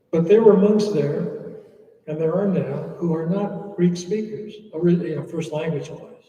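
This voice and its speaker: Speaking with an American accent, a man with a high pitch talks at a fairly slow pace amid audible room echo. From USA. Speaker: monk. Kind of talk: Q&A talk.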